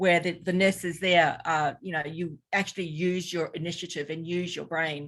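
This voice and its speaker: The speaker has a New Zealand accent and a monotone, flat intonation. The pace is moderate, with hardly any pauses. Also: woman, fairly low pitch for a woman. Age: 60s. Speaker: health practitioner and former intensive care nurse. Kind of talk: interview. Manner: halting.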